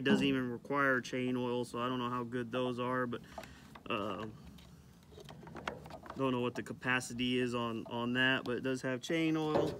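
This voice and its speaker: A man's voice over noticeable background noise. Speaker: rancher reviewing a tool. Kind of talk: casual product review. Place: farm machine.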